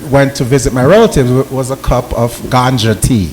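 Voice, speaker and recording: With a slight Jamaican accent, a man speaks at a moderate pace against noticeable background noise. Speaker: napropath on a panel. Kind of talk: panel talk.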